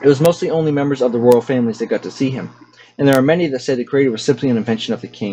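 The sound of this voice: The voice reads in an unforced way, and its pitch varies by an ordinary amount.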